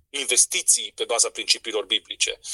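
Dry and close with no echo, a man's voice moves at a moderate pace. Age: young. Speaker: entrepreneur and event organizer. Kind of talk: radio interview.

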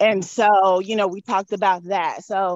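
A woman talks here. Her pace is fairly slow. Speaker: marriage and family therapist. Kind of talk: casual interview. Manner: loud; animated.

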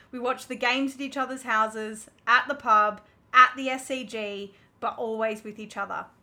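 With an Australian accent, a woman speaks at a high pitch and moderate pace in a bright, sharp tone, her intonation fairly even while her loudness swings widely. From Melbourne, Australia. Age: 20s. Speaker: podcast co-host. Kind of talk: casual chat.

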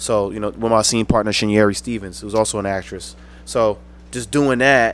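With an American accent, a man speaks at a moderate pace in an ordinary speaking voice, his fairly low pitch held in fairly even intonation. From Paterson, New Jersey. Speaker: actor and poet. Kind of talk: casual chat.

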